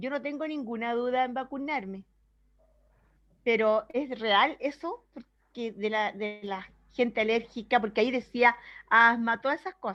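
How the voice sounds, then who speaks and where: A woman speaks at a fairly slow pace in a high, bright, sharp voice with ordinary pitch variation. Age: 60s. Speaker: church member asking a question. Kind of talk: Q&A question.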